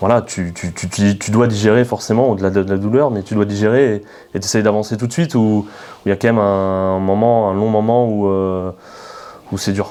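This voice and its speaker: Moderate-paced speech from a man with a fairly low voice, fairly even intonation and long, frequent pauses, over noticeable background noise. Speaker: club media interviewer. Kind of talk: interview questions.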